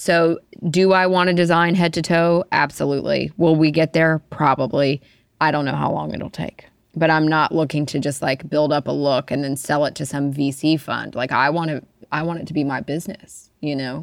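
In a very clean recording with a silent background, a woman with an American accent speaks at a very deep, low pitch and moderate pace, her intonation fairly even. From Alabama, US South. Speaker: fashion designer and business owner. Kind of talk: interview.

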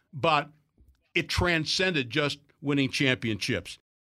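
A man speaks in a fairly high pitch with a bright, sharp tone and lively intonation. His pace is fairly slow, and the recording is very clean with a silent background. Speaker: sports radio host. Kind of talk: casual chat.

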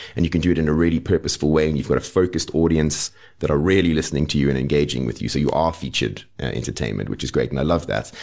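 Hardly pausing, a man with a very deep, low voice and vocal fry races at a very fast pace with ordinary pitch variation. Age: 40s. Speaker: folk singer-songwriter. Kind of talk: casual chat.

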